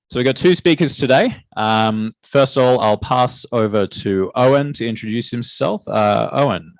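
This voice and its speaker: With an Australian accent, a man talks at a moderate pace and a medium pitch, with ordinary pitch variation and hardly any pauses. The sound is dry and close, with no echo. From Australia (Newcastle, NSW). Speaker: software engineer giving a guest talk. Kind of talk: guest lecture to students.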